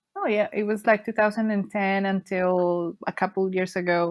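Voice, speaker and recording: A woman speaks with a Spanish accent at a medium pitch. Her intonation is fairly even and her pace fairly slow. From Colombia, Bogota. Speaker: cruise ship worker and travel blogger. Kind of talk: casual interview. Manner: halting, many fillers.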